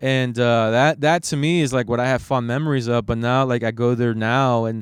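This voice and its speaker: With a Spanish accent, a man of medium pitch talks with fairly even intonation and very even loudness. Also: moderate pace. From Phoenix area, Arizona (South Scottsdale). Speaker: podcast host. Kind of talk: casual interview.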